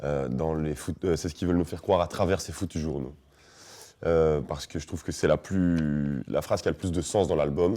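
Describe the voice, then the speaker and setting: A man's very deep, low voice, dark and mellow in tone, with fairly even intonation. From Belgium. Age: 20s. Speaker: rapper. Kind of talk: interview answer.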